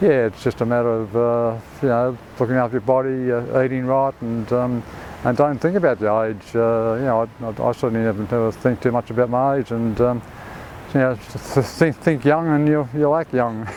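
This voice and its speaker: With an Australian accent, a man at medium pitch talks at a moderate pace with fairly even intonation over noticeable background noise. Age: 80s+. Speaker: surfer. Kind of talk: interview answer.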